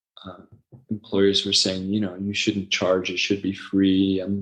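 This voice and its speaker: A man's fairly low voice with an American accent. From US West Coast, Los Angeles. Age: 60s. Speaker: website founder and former ESL teacher. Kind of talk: interview. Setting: podcast interview. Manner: halting, many fillers.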